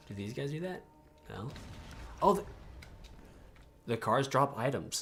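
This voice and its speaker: This man mumbles as he talks. His pitch is fairly high. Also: lively intonation, moderate pace, big swings in loudness. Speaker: gaming streamer. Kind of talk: live gameplay stream. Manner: mumbling; halting.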